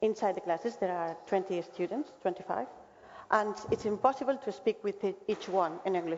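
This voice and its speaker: A woman speaks at a medium pitch with a Spanish accent. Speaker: school representative. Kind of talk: presentation Q&A. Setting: webinar. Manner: halting.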